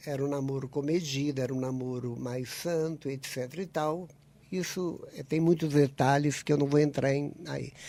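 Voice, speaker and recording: A man with a fairly high pitch speaks at a moderate pace with fairly even intonation. His tone is dark and mellow. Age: 70s. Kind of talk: radio interview.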